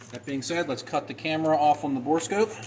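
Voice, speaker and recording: Very fast talk from a man, noticeable background noise behind it. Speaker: gunsmith and firearms channel host. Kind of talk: tutorial.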